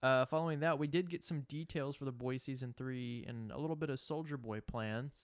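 The voice is an unremarkable speaking voice, moving at a fairly quick pace with hardly any pauses. Intonation is fairly even, and the recording is very clean with a silent background. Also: man, medium pitch for a man. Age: 20s. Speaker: podcast co-host. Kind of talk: casual chat.

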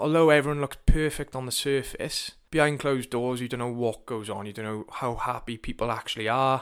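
With a Welsh accent, a man talks at a fairly quick pace, his medium pitch held in fairly even intonation while his loudness swings widely. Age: 20s. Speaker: personal trainer. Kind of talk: casual monologue. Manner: informal, sweary.

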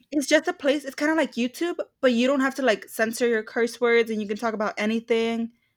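A woman at a high pitch, very fast pace and ordinary pitch variation, in a dry, close sound with no echo. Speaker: podcast co-host. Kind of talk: casual chat between friends. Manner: chatty, laughing.

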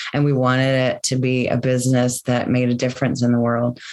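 A woman with an American accent talks in a very deep, low pitch. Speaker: company co-founder and sustainability business leader. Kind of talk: casual interview conversation.

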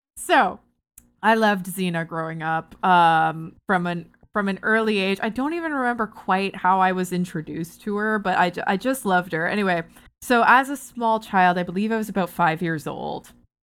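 Speaking in a Canadian accent, a woman has a plain, everyday voice at medium pitch, with ordinary pitch variation and a moderate pace, on a very clean recording with a silent background. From Ontario, Canada (Barrie). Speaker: TV and video game writer. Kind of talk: casual chat.

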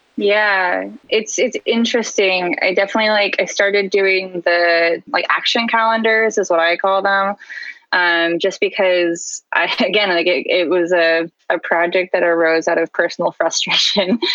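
A woman with a plain, everyday voice, medium pitch, fairly even intonation, very even loudness, and a moderate pace. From US West Coast (San Diego). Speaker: illustrator and art educator. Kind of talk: casual interview.

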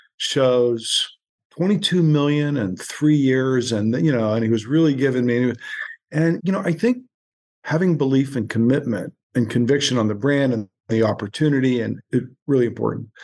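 A man with an American accent speaks at medium pitch and a moderate pace, using a plain, everyday voice with ordinary pitch variation. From US Midwest (Pittsburgh, then Youngstown, Ohio). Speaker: beverage company founder. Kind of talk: interview. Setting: remote call.

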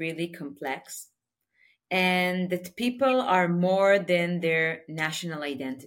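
In an Israeli accent, a woman of medium pitch speaks at a very slow pace. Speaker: nonprofit leader. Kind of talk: interview answers. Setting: remote call.

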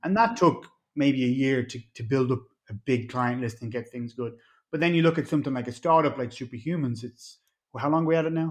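At a fairly quick pace, a man talks with an Irish accent over a quiet background. His pitch is medium, with ordinary pitch variation. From Ireland. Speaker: mixed martial artist and entrepreneur. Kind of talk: casual interview chat.

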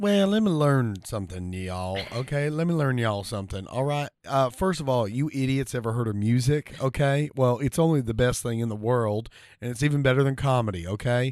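A man speaks at a fairly quick pace with hardly any pauses, using a normal speaking voice. The background is quiet. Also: medium pitch for a man, lively intonation. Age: 30s. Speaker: podcast co-host and comedian. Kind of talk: casual chat.

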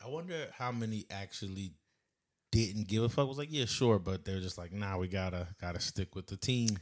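Here is a man with an American accent and an ordinary speaking voice. His pitch is fairly low with ordinary variation, and his pace is moderate. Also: very clean recording, silent background. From Philadelphia area, US. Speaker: podcast co-host. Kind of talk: casual chat.

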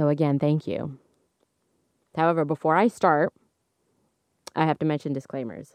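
Speech comes at a moderate pace with long, frequent pauses, over a quiet background in a dry, close sound with no echo. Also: woman, very deep, low pitch for a woman. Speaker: astrology podcast host. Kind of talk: casual solo monologue. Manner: varied tones, modulating voice; animated, laughs often.

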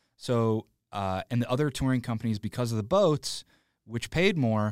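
In a very clean recording with a silent background and a dry, close sound with no echo, a man with an American accent talks in an ordinary speaking voice at a moderate pace, with a medium pitch and ordinary pitch variation. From Illinois, Joliet area. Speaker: comedic actor and improviser. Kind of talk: casual interview chat.

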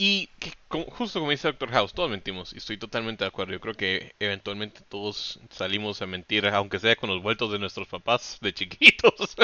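A man with a normal speaking voice talks at a fairly quick pace. His pitch is fairly low, with ordinary variation. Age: 20s. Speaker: podcast co-host. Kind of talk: casual chat.

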